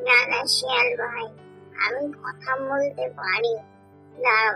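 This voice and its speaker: A cartoonish character voice, female-sounding, with fairly high pitch and a fairly slow pace. Clear music plays in the background. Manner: boastful, self-important.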